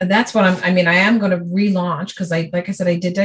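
A woman with an American accent speaks at a medium pitch, her voice somewhat breathy. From New York City (Brooklyn). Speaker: speech pathologist. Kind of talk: business coaching conversation. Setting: recorded call.

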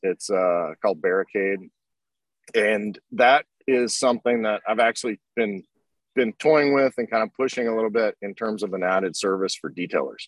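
An unremarkable speaking voice from a man with an American accent, medium in pitch with ordinary pitch variation, at a moderate pace, in a dry, close sound with no echo. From Oklahoma. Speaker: business owner, detailing tool maker. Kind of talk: interview. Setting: live stream.

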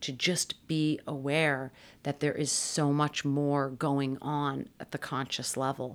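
Very slowly and at a very deep, low pitch, a woman speaks with an American accent. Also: very clean recording, silent background. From Massachusetts. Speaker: clinical psychologist. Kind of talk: interview.

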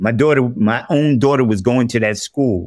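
This man has a New York accent and a medium pitch. He talks at a moderate pace with ordinary pitch variation. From New York, South Bronx. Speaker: deacon and formerly homeless speaker. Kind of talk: interview testimony.

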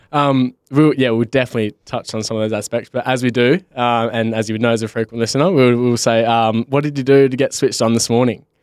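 A man with an Australian accent speaks at a very fast pace and a medium pitch, with fairly even intonation. The sound is dry and close, with no echo. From Western Australia, Bunbury. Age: 20s. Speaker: podcast host. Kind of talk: casual chat.

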